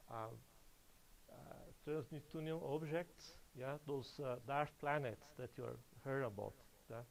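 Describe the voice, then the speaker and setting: A man speaks with a non-native accent. His pitch is medium and his intonation fairly even. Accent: foreign. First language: Portuguese. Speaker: astronomer. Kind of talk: public lecture. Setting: lecture hall with audience. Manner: halting, many fillers.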